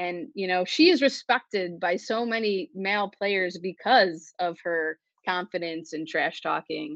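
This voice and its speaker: Speaking at a fairly slow pace with an American accent, this is a plain, everyday voice with ordinary pitch variation. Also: woman, medium pitch for a woman. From Buffalo, New York. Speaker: sports reporter. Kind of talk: casual interview.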